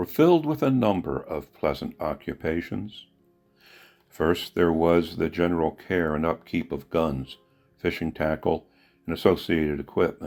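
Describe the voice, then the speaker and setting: Over music in the background, a man talks in a very deep, low voice with ordinary pitch variation. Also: moderate pace. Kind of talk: book introduction narration.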